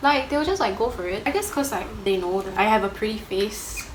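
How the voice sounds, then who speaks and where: With noticeable background noise and audible room echo, a woman speaks at a moderate pace, her pitch swinging very widely. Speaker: plus-size model. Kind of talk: casual chat.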